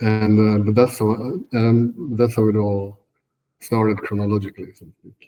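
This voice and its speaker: Low-pitched and dark, mellow in tone, a man speaks at a moderate pace in a flat monotone with big swings in loudness. The recording is very clean, with a silent background. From northern Sweden. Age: 40s. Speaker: trader and software engineer. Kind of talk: interview. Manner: halting, many fillers.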